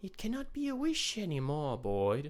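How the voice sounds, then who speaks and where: Soft-spoken and hissing, this put-on character voice sits at a middle pitch and moves at a moderate pace. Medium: read story. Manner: hissing, cryptic.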